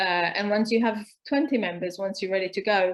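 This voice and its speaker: A woman talks at a moderate pace with a plain, everyday voice. Her pitch is medium and her intonation fairly even. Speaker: co-op organizer and co-founder. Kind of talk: online talk session. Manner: many filler words and repetitions.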